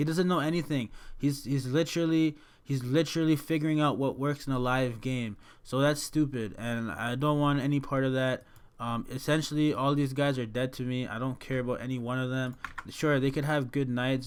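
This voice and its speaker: A man speaks at a fairly quick pace on a very clean recording with a silent background. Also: medium pitch for a man. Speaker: fantasy sports analyst. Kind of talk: casual tutorial commentary. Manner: fast; animated.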